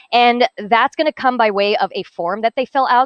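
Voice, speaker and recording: Fairly quick and lively in intonation, a woman speaks at a fairly high pitch. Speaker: hackathon team presenter. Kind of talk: project presentation. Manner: fast.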